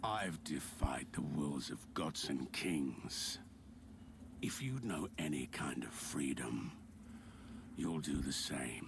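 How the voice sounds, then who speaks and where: Over loud background noise, a man does a put-on character voice at a very slow pace with long, frequent pauses. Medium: video game. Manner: terse, grave.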